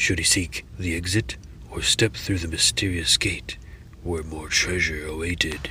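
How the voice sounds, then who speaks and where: In a put-on character voice, the speaker moves at a moderate pace with ordinary pitch variation over clear background noise. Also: man, very deep, low pitch for a man. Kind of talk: dark fantasy lore reading. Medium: read story. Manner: slow, phrase by phrase.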